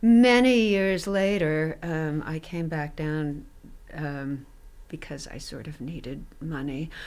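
A woman speaks at a very deep, low pitch and a very slow pace, with lively intonation and big swings in loudness. Room echo is audible. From US West, Reno, Nevada. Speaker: retired theater professor and actress. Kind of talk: interview storytelling. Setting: studio.

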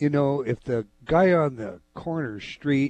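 With music in the background, a man speaks at a fairly slow pace, a medium pitch and ordinary pitch variation. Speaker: talk radio host. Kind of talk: radio interview question.

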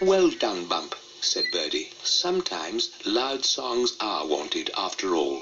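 A natural reading voice carries the text.

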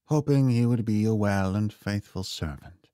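Natural-voiced reading aloud with pitch that varies in an ordinary way

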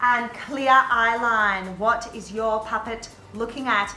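Faint music plays behind a woman's voice. The room echo is audible. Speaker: drama teacher. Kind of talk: tutorial. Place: classroom. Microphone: camera far.

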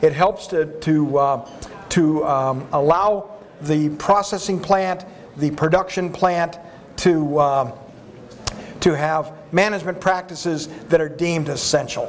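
A man's fairly high voice, very slow and fairly even in intonation, over light background noise. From Arizona, US. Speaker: animal health and food safety expert; panelist. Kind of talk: panel discussion. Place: hall. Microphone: lapel.

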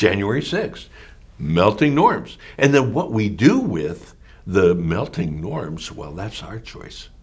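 A man with an American accent talks at a very slow pace in a fairly low, somewhat breathy voice, with very wide pitch swings and big swings in loudness. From rural Pennsylvania, US. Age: 80s+. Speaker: activist and author; teacher interviewee. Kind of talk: interview. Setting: office. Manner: animated. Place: home room.

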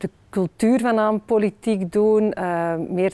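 The woman's tone is dark and mellow. Her intonation is fairly even. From Flanders, Belgium. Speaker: politician, member of the Flemish Parliament. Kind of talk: interview answer. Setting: parliament interview video. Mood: warm, smiling, encouraging. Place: hall. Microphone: lapel.

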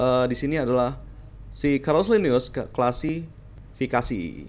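The delivery is very slow. Its intonation is lively. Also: man. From Indonesia, Jakarta. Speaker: teacher. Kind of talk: lecture. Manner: casual, conversational.

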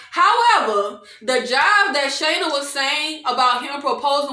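A raised, projected voice with an animated tone and lively intonation moves at a fairly slow pace, with audible room echo around it. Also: woman. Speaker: video creator reviewing TV shows. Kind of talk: angry rant, indignant recap and commentary on reality TV. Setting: solo video recording. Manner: animated, exasperated, indignant, emphatic with repeated 'child' and 'y'all'. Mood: exasperated, opinionated.

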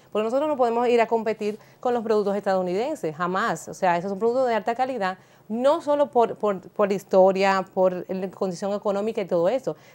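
A woman talks at a fairly quick pace. Her pitch is medium, with ordinary pitch variation. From Dominican Republic. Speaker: international business and social media specialist; talk show guest. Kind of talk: TV panel discussion. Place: studio. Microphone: lapel.

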